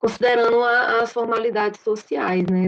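A woman with a fairly high voice speaks at a moderate speed. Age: 30s. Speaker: dance and physical education teacher. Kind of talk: testimony.

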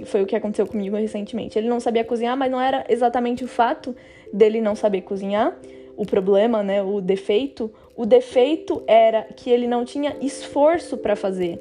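A woman talks with a normal speaking voice at a fairly quick pace. Her pitch is fairly high, with ordinary variation. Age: 20s. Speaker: podcast host. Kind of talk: solo podcast monologue. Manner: casual, conversational.

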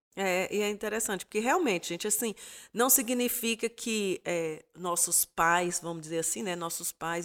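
In a very clean recording with a silent background and a dry, close sound with no echo, a woman uses a normal speaking voice at medium pitch with ordinary pitch variation. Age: 50s. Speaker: pastor's wife. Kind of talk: casual chat.

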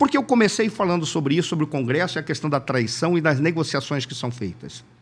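At a fairly quick pace, a man's voice comes through on a very clean recording against a silent background. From Manaus, Brazil. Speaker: political analyst. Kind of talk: casual interview.

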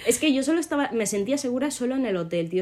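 Swinging very widely in pitch, a woman talks with a dark, mellow tone. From Morocco. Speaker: podcast co-host. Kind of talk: casual chat.

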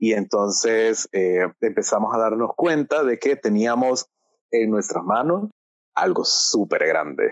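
The speech moves at a very slow pace. Its loudness stays very even throughout. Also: man. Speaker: podcast co-host, marketing consultant. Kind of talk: casual conversational storytelling.

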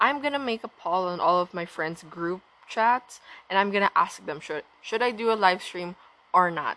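A woman's bright, sharp tone at a fairly slow pace. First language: not English. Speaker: podcast host. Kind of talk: casual solo rant/vlog-style monologue. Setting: recorded at home downstairs, dog barking. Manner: casual, chatty, laughs often.

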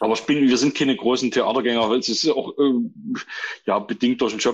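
The speaker is a man with a medium pitch. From Saxony, Germany (near Chemnitz). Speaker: composer and stage actor. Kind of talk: casual chat. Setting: phone call. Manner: halting.

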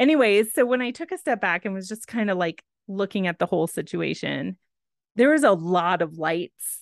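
A woman with an American accent talks at a moderate pace in a normal speaking voice of medium pitch with lively intonation. The sound is dry and close with no echo, and the background is quiet. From Texas. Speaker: podcast co-host. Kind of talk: casual chat.

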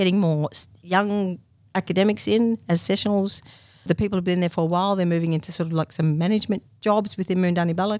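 With an Australian accent, a woman talks at a very fast pace. Her intonation stays fairly even. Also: medium pitch for a woman, dry, close sound with no echo. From country Victoria, Australia. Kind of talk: interview.

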